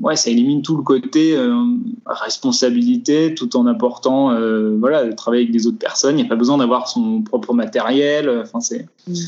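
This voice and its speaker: Noticeable background noise sits behind a man whose medium-pitched voice holds a very even loudness. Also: ordinary pitch variation, moderate pace. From France, Vosges. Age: 20s. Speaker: film grip. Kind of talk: interview. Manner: hesitant, many fillers. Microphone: poor sound quality, lockdown recording.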